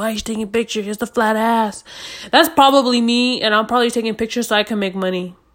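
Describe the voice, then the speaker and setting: Animated in tone, a woman speaks at a very fast pace with fairly high pitch. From US, Mexican-American family. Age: 20s. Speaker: podcast host. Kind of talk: casual solo chat, rant. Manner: loud, talkative, animated.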